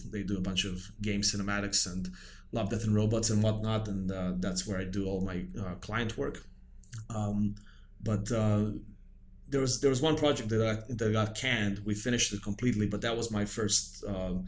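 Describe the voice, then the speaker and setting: A man speaks at a moderate pace. The room echo is audible. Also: fairly even intonation. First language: Serbian. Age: 40s. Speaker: film director. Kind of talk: casual chat. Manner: halting.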